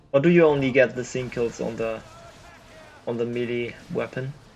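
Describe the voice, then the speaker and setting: Music sits in the background. The speech moves at a fairly slow pace. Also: man. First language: not English. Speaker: game caster. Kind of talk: live commentary. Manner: animated.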